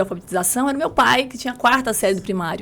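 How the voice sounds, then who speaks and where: High-pitched speech from a woman, full of lively intonation. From rural southern Espírito Santo, Brazil. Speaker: lawyer and women's mentor. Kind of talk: podcast interview, life story.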